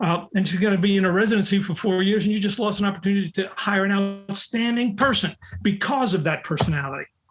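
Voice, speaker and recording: A man's high-pitched voice in a New York accent, very fast and very even in loudness, over music in the background. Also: ordinary pitch variation. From US Northeast, New York, the Bronx. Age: 70s. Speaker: recruiting expert and author. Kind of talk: podcast interview. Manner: forceful, in your face.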